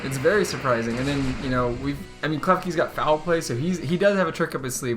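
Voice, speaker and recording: Over music in the background, a man with a fairly high pitch talks at a very fast pace. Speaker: commentator auditioning for Pokémon tournament commentary. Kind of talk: esports-style gameplay commentary.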